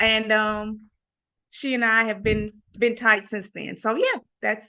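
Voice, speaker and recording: Fairly high-pitched woman with a Louisiana accent, a bright, sharp tone, monotone, flat intonation and a fairly slow pace. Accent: Southern US (Louisiana). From Louisiana, near Vicksburg, Mississippi. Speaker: Marine veteran. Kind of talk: interview. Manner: halting, many fillers.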